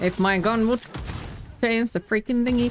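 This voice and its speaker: The voice moves at a moderate pace with ordinary pitch variation, amid noticeable background noise. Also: woman. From Finland. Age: 20s. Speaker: video game streamer. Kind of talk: casual chat. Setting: live stream.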